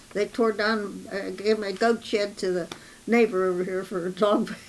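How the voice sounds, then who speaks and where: A woman's monotone, flat delivery at a medium pitch and a fairly slow pace. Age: 90s. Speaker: local historian and homesteader. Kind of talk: interview. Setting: museum. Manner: halting.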